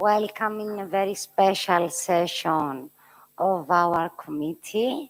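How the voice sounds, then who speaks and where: In a Greek accent, a woman speaks at a very slow pace. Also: medium pitch for a woman, ordinary pitch variation. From Cyprus. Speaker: committee chair. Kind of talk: formal meeting opening speech. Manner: halting.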